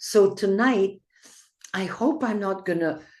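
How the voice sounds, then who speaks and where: Speaking very slowly with a Belgian accent, a woman uses a medium pitch and ordinary pitch variation against a quiet background. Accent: Belgian Flemish accent in English. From Belgium (Flanders). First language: Flemish. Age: 80s+. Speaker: poet. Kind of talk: poetry reading.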